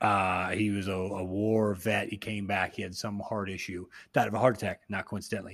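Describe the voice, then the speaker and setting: A man with an American accent has a bright, sharp tone in a very clean recording with a silent background. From Austin, Texas. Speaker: podcast host. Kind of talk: casual chat, serious discussion about grief. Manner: joking, casual.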